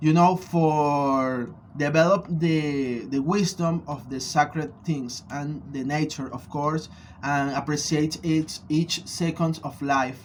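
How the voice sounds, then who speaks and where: Speaking with a Venezuelan accent, a man talks at a very slow pace. His pitch is fairly high, and his intonation fairly even. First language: Spanish. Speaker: spiritual practitioner and vlogger. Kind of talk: personal video blog answering questions. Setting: studio. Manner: halting, many fillers.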